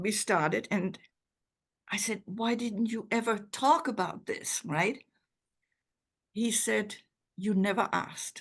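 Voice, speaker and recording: A woman's somewhat breathy, medium-pitched voice at a very slow pace, with ordinary pitch variation and long, frequent pauses. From Germany. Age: 80s+. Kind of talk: interview answer.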